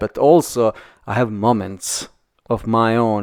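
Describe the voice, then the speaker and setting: A man with a non-native accent speaks at a medium pitch. The recording is very clean with a silent background and a dry, close sound with no echo. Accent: foreign. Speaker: architecture podcast co-host. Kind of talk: casual chat. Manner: halting, many repetitions and fillers.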